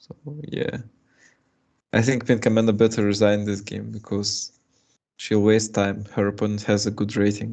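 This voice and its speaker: A man speaks at a fairly low pitch with a dark, mellow tone and monotone, flat intonation. His pace is moderate, with long, frequent pauses. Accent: Russian. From Russia (Moscow). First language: Russian. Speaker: chess streamer and coach. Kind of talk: live chess commentary. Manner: halting.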